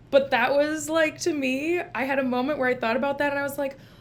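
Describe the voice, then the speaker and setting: A woman with an American accent speaks at a high pitch. Her pace is fairly quick. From Minnesota. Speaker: licensed social worker, therapist. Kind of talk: casual vlog book review. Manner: casual, filler-heavy.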